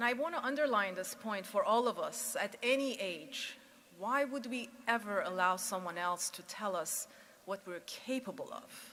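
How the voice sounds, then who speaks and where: A woman's fairly high voice with a non-native accent, lively intonation and a moderate pace. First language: not English. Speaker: commencement speaker, former news executive. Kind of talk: commencement speech.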